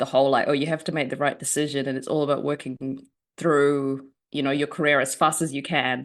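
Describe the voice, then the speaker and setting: A woman with a very deep, low pitch speaks in a New Zealand accent. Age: 30s. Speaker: journalist and writer. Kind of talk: interview. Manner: hesitant, many fillers.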